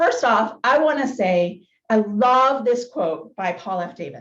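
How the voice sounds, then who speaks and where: A woman speaks loudly with an energetic tone. Her pitch swings very widely. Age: 40s. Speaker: motivational speaker. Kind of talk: keynote talk. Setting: business luncheon meeting, hybrid.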